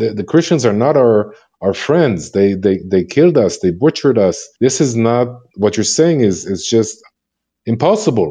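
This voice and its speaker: In an Israeli accent, a man with a medium pitch and a dark, mellow tone speaks with lively intonation. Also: moderate pace. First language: Hebrew. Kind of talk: interview testimony. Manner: halting, frequent repetitions.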